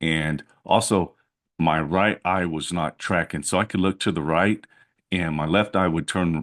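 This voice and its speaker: With a quiet background, a man speaks in a very deep, low pitch with fairly even intonation. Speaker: electrician and vlogger. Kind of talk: personal vlog. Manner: hesitant, many fillers.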